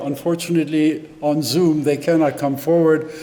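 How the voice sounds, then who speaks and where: Noticeable background noise and audible room echo fill the recording. Through them comes a man's fairly high-pitched voice. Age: 80s+. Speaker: service leader leading joys and concerns. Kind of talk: church service announcements. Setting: hybrid service, in person and on Zoom. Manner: halting.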